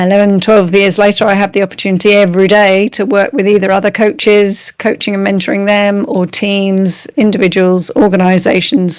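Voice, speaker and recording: In an English accent, a woman with a medium pitch talks at a fairly quick pace with fairly even intonation and hardly any pauses. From England. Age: 50s. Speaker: strengths coach. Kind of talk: interview.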